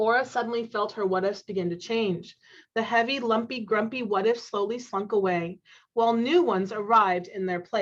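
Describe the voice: Simple, plain reading aloud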